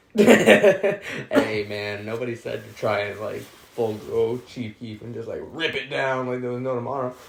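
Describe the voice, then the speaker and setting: Noticeable background noise sits under a man speaking at medium pitch and a fairly slow pace, with lively intonation, big swings in loudness and hardly any pauses. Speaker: podcast co-host. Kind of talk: casual chat.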